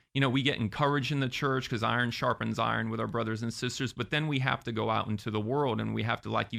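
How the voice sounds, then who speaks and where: A man with an American accent, a medium pitch, vocal fry, ordinary pitch variation and a very fast pace. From Florida. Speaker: entertainer and podcaster. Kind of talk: interview.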